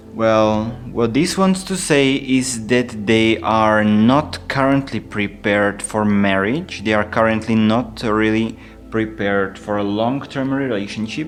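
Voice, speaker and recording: With a non-native accent, a man speaks at a fairly slow pace and a medium pitch with ordinary pitch variation. Music plays in the background. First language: not English. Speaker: tarot reader. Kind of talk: tarot reading monologue. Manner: halting, frequent fillers.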